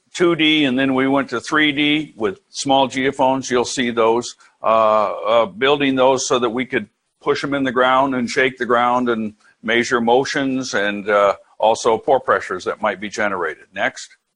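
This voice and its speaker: A man speaks in a normal speaking voice at a medium pitch and a fairly slow pace. His pitch varies in an ordinary way against a quiet background. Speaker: professor. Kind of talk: lecture.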